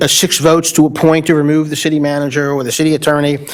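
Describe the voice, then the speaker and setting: A man talks with a Brooklyn accent at a fairly high pitch. Noticeable background noise runs under his voice. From US Northeast, Brooklyn, New York. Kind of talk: public comment at a city commission meeting.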